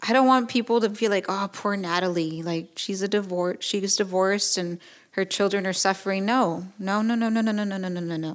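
A woman with an American accent speaks at a fairly quick pace and a medium pitch, her intonation fairly even and hardly any pauses, in a very clean recording with a silent background. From Mexican American, US. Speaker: podcaster, divorced mother. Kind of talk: personal interview. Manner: halting, many restarts and repetitions.

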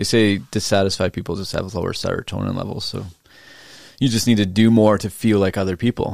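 Here a man talks fairly quickly at a fairly low pitch in a normal speaking voice. His intonation is fairly even, and the recording is very clean with a silent background. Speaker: real estate agent. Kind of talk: casual chat.

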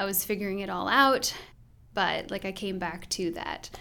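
In an American accent, a woman uses a normal speaking voice with medium pitch at a moderate pace. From US Midwest. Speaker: pastor's wife and church co-founder. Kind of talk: casual interview.

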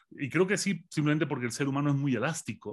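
A man's somewhat breathy voice at a fairly high pitch, over a quiet background. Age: 40s. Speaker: philosopher. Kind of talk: interview.

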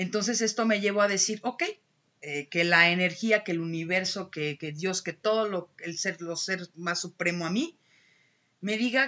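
A woman at a medium pitch with ordinary pitch variation and a moderate pace. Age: 30s. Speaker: alternative therapist. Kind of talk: casual chat.

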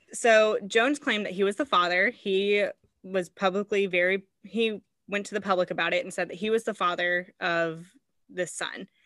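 A woman with a plain, everyday voice and an American accent speaks at medium pitch and a moderate pace, with ordinary pitch variation, in a dry, close sound with no echo on a very clean recording against a silent background. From Indiana. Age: 20s. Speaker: podcast host. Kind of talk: true crime storytelling.

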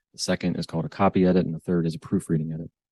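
A man's very deep, low voice with a Midwestern American accent, in a dry, close sound with no echo against a quiet background. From US Midwest, Northwest Ohio. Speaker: financial advisor and author. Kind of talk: interview.

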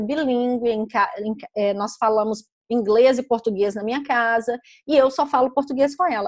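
At a moderate pace, a woman talks in a high pitch. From Brazil, Belo Horizonte (Minas Gerais). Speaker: children's book author and publisher. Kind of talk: interview.

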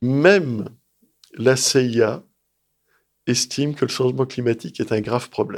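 Pausing often and at length, a man talks fairly slowly in a medium pitch, his pitch varying in an ordinary way. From France, Lyon. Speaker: strategic studies researcher and author. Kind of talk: interview.

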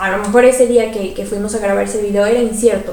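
Noticeable background noise and audible room echo surround a woman's voice. She speaks at a fairly quick pace with a fairly high pitch and ordinary pitch variation. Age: 20s. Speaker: podcast co-host. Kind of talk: casual chat. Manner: animated.

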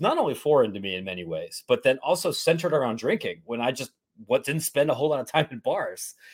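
In a very clean recording with a silent background, a man speaks with a Midwestern US accent. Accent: US Midwest. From Ohio (Columbus area, small town). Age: 30s. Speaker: sports journalist. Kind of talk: casual interview. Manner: repeats words, stammering starts.

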